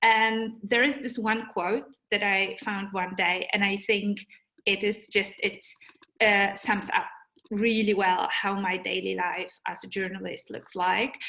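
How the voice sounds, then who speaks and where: A woman with a Polish accent speaks with fairly even intonation. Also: medium pitch for a woman, fairly slow pace. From Poland. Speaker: journalist. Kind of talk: webinar talk. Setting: video call. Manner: halting, with fillers and repetitions.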